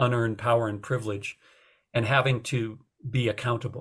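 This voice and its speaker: This man's voice sits at a middle pitch and carries a slight airiness. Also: very clean recording, silent background. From North Dakota. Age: 60s. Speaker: retired journalism professor and author. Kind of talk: podcast interview. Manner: hesitant, many fillers.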